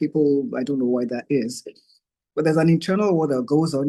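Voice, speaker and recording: A man's fairly high-pitched voice with a dark, mellow tone and lively intonation. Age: 60s. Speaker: conference speaker, cancer survivor. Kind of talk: presentation. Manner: halting.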